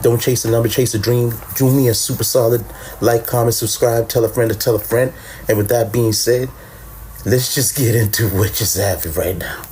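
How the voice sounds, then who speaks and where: Noticeable background noise sits under the recording. A man speaks fairly quickly. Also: medium pitch for a man. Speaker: podcast host. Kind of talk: casual chat. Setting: late-night home recording with co-host. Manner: low-key, laid back; animated.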